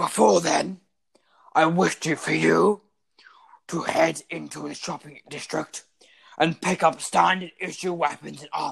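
In a put-on character voice at a middle pitch, the speaker moves at a fairly slow pace with long, frequent pauses. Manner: stern, commanding drill-sergeant tone.

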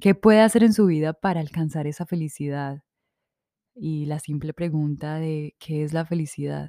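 A woman speaks at a moderate pace in a very deep, low pitch, her dark, mellow tone carrying ordinary pitch variation in a dry, close sound with no echo. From Colombia, Manizales. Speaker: podcast host. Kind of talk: casual monologue. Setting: seated recording.

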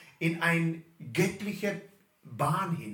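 Audible room echo surrounds a man speaking at a high pitch for a man. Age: 50s. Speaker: pastor. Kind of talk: sermon.

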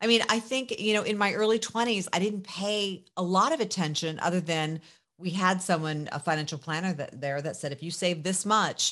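Over a quiet background, a woman talks with a fairly low pitch and ordinary pitch variation. Hers is a plain, everyday voice. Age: 50s. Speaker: journalist and media entrepreneur. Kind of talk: casual interview.

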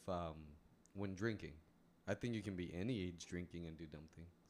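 A man with an unremarkable speaking voice talks at a moderate pace, his pitch rising and falling in an ordinary way. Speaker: podcast co-host. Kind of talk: casual chat. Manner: joking, teasing.

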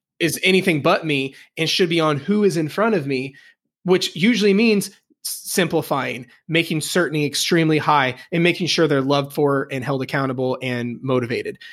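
A man with an American accent and a normal speaking voice talks at a fairly quick pace, his fairly high pitch showing ordinary variation. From US Midwest, Indiana. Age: 20s. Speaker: personal trainer. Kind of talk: casual chat. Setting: video call.

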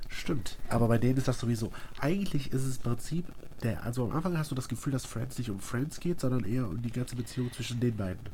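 This man has a dark, mellow tone at a medium pitch, somewhat breathy. He speaks at a very fast pace with ordinary pitch variation. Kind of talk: casual chat.

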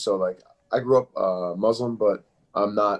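A man speaks with a Philadelphia accent. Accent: Philadelphia American English. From Philadelphia area, US. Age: 20s. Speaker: MMA fighter. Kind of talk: casual interview chat.

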